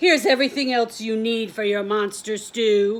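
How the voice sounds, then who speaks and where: A put-on character voice, female-sounding and rumbling, speaks at a fairly high pitch and a moderate pace. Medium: read story. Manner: muttering, grumbling.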